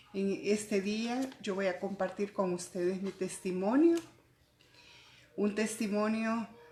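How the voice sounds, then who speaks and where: A woman speaks very slowly in a somewhat breathy voice at a medium pitch. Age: 60s. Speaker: church fellowship member. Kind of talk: testimony. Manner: halting.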